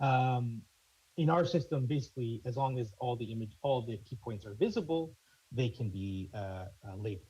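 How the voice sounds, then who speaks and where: A man's somewhat breathy, dark and mellow voice at a medium pitch, with lively intonation and a fairly quick pace. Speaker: conference presenter. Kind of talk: technical presentation. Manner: fast; halting, many fillers.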